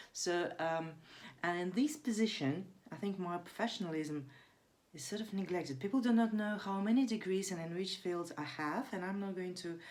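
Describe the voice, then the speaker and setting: A woman with a non-native accent speaks at medium pitch and a moderate pace, with ordinary pitch variation and audible room echo. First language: not English. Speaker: vlogger. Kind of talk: casual monologue vlog. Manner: hesitant, many fillers.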